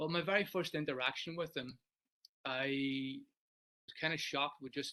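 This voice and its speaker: This man speaks with an Irish accent at a moderate pace, his fairly high-pitched voice carrying a bright, sharp tone. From Ireland. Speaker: sports psychologist. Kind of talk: webinar talk. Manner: loud.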